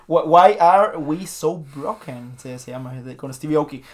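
This man speaks with a Mexican accent, his pitch fairly high. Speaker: podcast host. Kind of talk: casual chat. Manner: halting.

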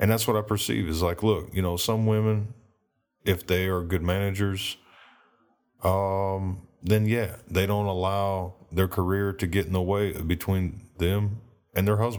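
In an American accent, a man speaks at a fairly slow pace with monotone, flat intonation and very even loudness, on a very clean recording with a silent background. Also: fairly low pitch for a man. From United States. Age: 30s. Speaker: solo podcaster. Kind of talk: monologue. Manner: halting; passionate.

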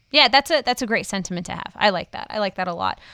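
A woman's voice with an American accent, very wide pitch swings and a moderate pace. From Wisconsin, US (small town). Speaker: podcast host and skydiver. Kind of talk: casual interview.

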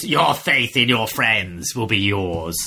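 A man's put-on character voice, fairly low in pitch, at a fairly slow pace. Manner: sinister, gloating.

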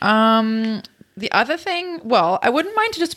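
The intonation here is lively. It comes in a plain, everyday voice. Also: woman. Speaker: podcast host. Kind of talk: casual interview chat.

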